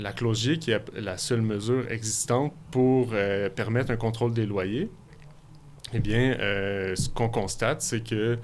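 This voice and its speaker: This man's voice is pitched in the middle range. He keeps his intonation fairly even. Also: fairly slow pace. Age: 30s. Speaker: filmmaker. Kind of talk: radio interview. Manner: halting.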